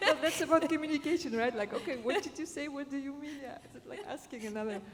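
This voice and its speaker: The intonation is lively. Audible room echo is present. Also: woman. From Germany. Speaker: panelist, positive leadership trainer. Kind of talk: panel discussion. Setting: conference stage with audience. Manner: halting.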